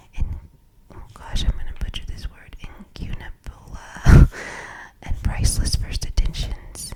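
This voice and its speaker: Someone is whispering at a fairly slow pace. Noticeable background noise sits behind it. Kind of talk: ASMR book reading.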